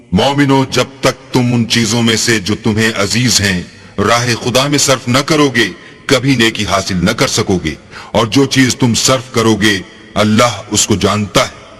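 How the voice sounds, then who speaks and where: Man's medium-pitched voice, fairly slow, with ordinary pitch variation and very even loudness, against noticeable background noise. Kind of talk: Hindi/Urdu translation reading alternating with Arabic verses.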